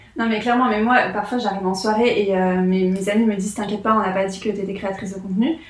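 A woman talks at a very fast pace with hardly any pauses. Her intonation is fairly even, with noticeable background noise. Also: medium pitch for a woman. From France, Lyon. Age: 20s. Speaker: content creator. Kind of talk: casual chat. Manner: halting.

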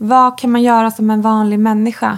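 A woman's fairly high voice at a moderate pace. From Sweden, Bergslagen. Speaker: podcast host. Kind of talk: interview. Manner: halting.

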